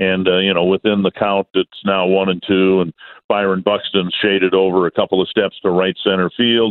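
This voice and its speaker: With an American accent, a man uses an unremarkable speaking voice, fairly low in pitch, at a moderate pace. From Minnesota. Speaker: baseball play-by-play announcer. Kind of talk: radio interview.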